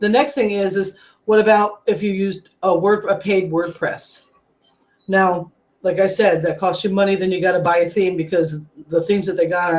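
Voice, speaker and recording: The speaker has an unremarkable speaking voice. The pace is fairly quick and the intonation fairly even. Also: woman. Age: 40s. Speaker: network marketing coach. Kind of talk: webinar product demo. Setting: live video hangout. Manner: casual, conversational.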